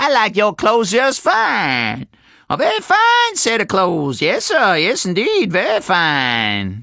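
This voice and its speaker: Putting on a character voice with a Southern US accent, a man speaks high for a man at a fairly slow pace. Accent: Southern American dialect, drops letters. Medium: read story. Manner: repetitive, rambling, folksy.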